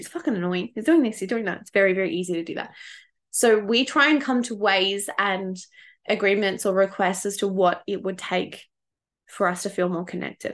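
A woman speaks with an Australian accent at a fairly quick pace. Her pitch is medium with ordinary variation, over a quiet background. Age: 30s. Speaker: podcast host, spiritual development coach. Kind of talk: casual solo podcast monologue. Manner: animated.

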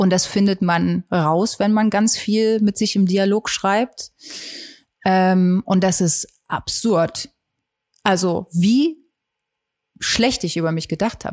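Recorded very cleanly with a silent background and a dry, close sound with no echo, a woman speaks very slowly at a medium pitch with ordinary pitch variation and long, frequent pauses. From Saxony, Germany (Geithain near Leipzig). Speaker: singer-songwriter. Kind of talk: casual interview.

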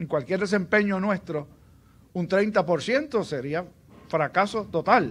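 A man's high-pitched voice in a Puerto Rican accent, very slow, with lively intonation. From Puerto Rico, Aguadilla. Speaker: pastor. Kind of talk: sermon.

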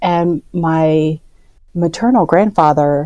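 A woman with a Midwestern American accent speaks at a very slow pace. Her pitch is very deep and low, with a dark, mellow tone. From Iowa, US Midwest. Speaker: artist and advocate. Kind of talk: interview conversation.

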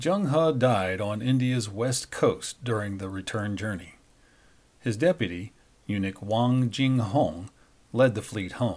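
This is a normal speaking voice at a fairly slow pace with ordinary pitch variation. The recording is very clean, with a silent background. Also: man, medium pitch for a man. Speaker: news anchor and podcast host. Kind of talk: history documentary narration, scripted. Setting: studio podcast. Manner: measured, formal, steady; even-paced, authoritative storytelling.

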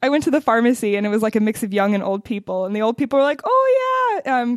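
A woman talks at a very fast pace with an American accent. The sound is dry and close, with no echo. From US Pacific Northwest, Seattle. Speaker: podcast host. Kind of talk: casual interview.

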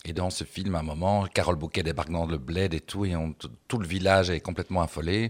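The recording is very clean, with a silent background. A man with a very deep, low pitch talks at a fairly quick pace with fairly even intonation. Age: 50s. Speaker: drag performer. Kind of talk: casual chat. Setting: stage with audience.

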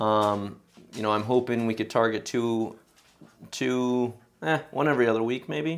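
Recorded very cleanly against total silence, the voice moves at a fairly slow pace with ordinary pitch variation. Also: man. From Sacramento, California, US. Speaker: podcast host and amateur soccer coach. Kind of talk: casual chat.

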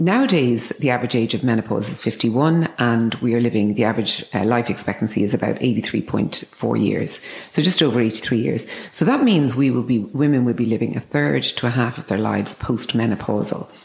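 A woman with an Irish accent speaks in a very deep, low voice with ordinary pitch variation and hardly any pauses. Noticeable background noise runs beneath her. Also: moderate pace. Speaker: clinic founder and former business executive. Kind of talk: interview conversation.

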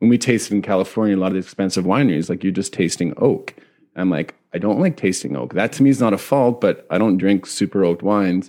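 With a Canadian Prairies accent, a man talks at a very fast pace. His fairly low voice has a dark, mellow tone and ordinary pitch variation. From Saskatchewan, Canada. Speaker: winemaker. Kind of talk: casual chat.

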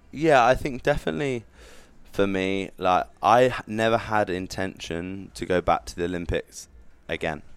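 Heard on a very clean recording with a silent background, a normal speaking voice moves at a moderate pace with lively intonation. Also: man, fairly low pitch for a man. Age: 20s. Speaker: Olympic weightlifter. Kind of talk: interview. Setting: gym.

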